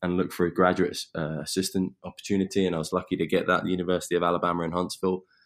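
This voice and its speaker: Recorded very cleanly against a silent background, a man speaks in a very deep, low voice with a southern English accent. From southeast England, Eastbourne. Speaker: strength and conditioning coach. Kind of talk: interview.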